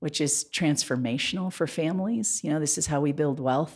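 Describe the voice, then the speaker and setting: A woman with a very deep, low pitch and lively intonation at a moderate pace, in a very clean recording with a silent background. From Montana. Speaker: mayoral candidate. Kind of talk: interview.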